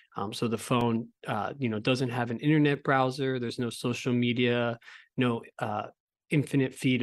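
His medium-pitched voice has monotone, flat intonation. The man is recorded against a quiet background. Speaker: company co-founder. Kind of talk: casual chat.

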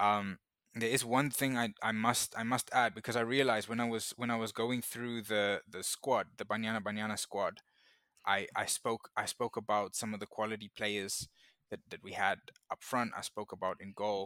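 Monotone, flat intonation at a moderate pace, with a bright, sharp tone and a dry, close sound with no echo. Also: man, medium pitch for a man. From South Africa. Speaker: football journalist. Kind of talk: podcast interview. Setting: remote call. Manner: halting, many repetitions and fillers.

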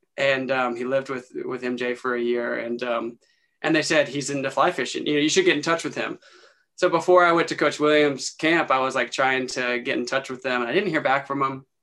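A normal speaking voice from a man with an American accent, medium in pitch, fairly even in intonation, at a fairly quick pace, over a quiet background. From Western North Carolina (Morganton). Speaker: filmmaker and producer. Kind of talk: casual interview. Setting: video call.

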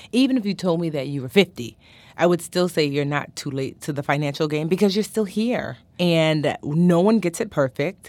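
In a very clean recording with a silent background, a woman with a fairly low pitch talks at a moderate pace with lively intonation and an animated tone. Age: 40s. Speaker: financial educator. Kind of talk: expert advice interview.

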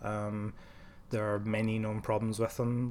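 At a moderate pace, a man with a medium-pitched voice speaks with a Glaswegian accent. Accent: Glaswegian Scottish. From Scotland, Glasgow. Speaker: software engineer. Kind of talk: technical interview. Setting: office.

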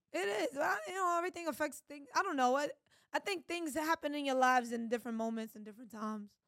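The speech moves at a very fast pace with lively intonation. Loudness swings in big ways throughout. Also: woman, high pitch for a woman. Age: 30s. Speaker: podcast co-host. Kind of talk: heated debate.

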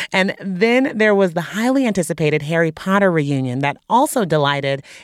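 In an upbeat tone, a woman with a fairly low pitch speaks with very wide pitch swings. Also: hardly any pauses, very even loudness. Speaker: podcast host. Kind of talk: news podcast hosting, conversational. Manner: casual, upbeat, chatty.

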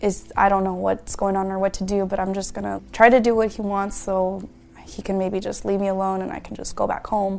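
Speaking at a fairly quick pace, a woman with a medium pitch keeps her intonation monotone and flat. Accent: American. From Washington State, Yakima area. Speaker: crime survivor. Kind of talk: testimony. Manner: casual, uses fillers.

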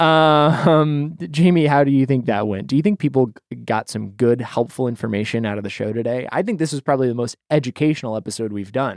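A man's medium-pitched, normal speaking voice with an American accent and lively intonation. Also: fairly quick pace. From Idaho, US. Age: 20s. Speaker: podcast host. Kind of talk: casual chat. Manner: self-deprecating, joking.

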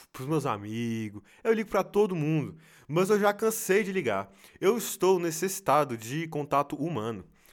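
A man with a fairly high pitch and very wide pitch swings speaks at a moderate pace on a very clean recording with a silent background. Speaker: podcaster. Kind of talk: casual monologue. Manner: halting.

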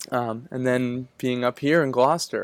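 A man in an American accent speaks in an unremarkable speaking voice with medium pitch and fairly even intonation. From Massachusetts North Shore. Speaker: small business founder. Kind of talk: interview.

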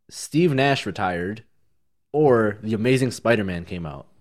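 The recording is very clean, with a silent background. A man with a fairly low pitch talks at a moderate pace in a plain, everyday voice. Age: 20s. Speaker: podcast co-host. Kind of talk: casual chat.

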